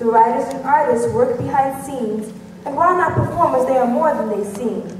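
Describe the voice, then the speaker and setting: A woman's high pitch and lively intonation, with audible room echo and light background noise. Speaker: master of ceremonies. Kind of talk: rhymed stage announcement, formal and scripted, introducing acts. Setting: stage with audience. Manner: formal and cheerful. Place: stage. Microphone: pa.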